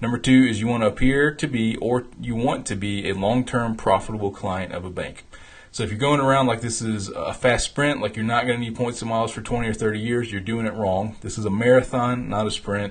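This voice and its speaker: Somewhat breathy, a man talks at medium pitch and a fairly quick pace with hardly any pauses. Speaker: founder and host of a travel rewards show. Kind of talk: live stream talk. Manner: fast; animated.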